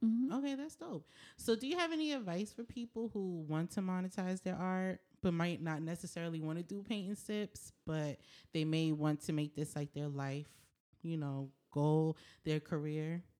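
A woman speaks at a moderate pace with lively intonation, her fairly low voice dark and mellow in tone. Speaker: podcast host. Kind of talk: casual interview chat.

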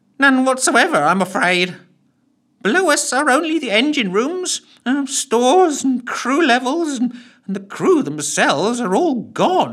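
This is a put-on character voice, nasal and fairly high in pitch. It moves at a fairly slow pace. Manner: long-winded, fussy.

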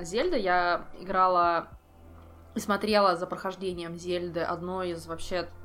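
Over music in the background, a woman with a medium pitch talks at a very slow pace. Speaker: ferret breeder. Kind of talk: casual chat.

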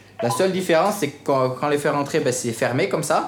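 A man at a fairly quick pace, with noticeable background noise and audible room echo. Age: young. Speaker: farmer. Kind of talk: guided farm tour.

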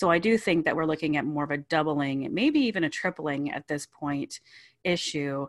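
A woman with a very deep, low pitch speaks at a moderate pace with ordinary pitch variation. The sound is dry and close with no echo, over a quiet background. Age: 30s. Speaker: ministry founder. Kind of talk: interview testimony.

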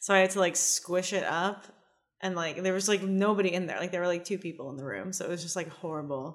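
Talking at a very fast pace, a woman speaks in a fairly low pitch. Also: fairly even intonation. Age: 20s. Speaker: comedian. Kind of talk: casual chat. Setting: studio.

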